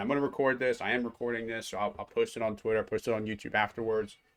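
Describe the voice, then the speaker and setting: Fairly low in pitch, a man talks with fairly even intonation in a normal speaking voice. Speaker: software developer teaching coding. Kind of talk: live-streamed coding tutorial. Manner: casual with many fillers and repetitions.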